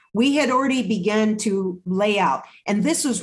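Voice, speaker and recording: A woman with an American accent speaks in a somewhat breathy voice with lively intonation. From California Central Valley. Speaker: nonprofit health organization CEO. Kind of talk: interview.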